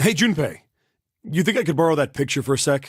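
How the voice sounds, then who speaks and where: A man's put-on character voice, fairly high-pitched and lively in intonation, at a very fast pace. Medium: video game. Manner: blunt, rough.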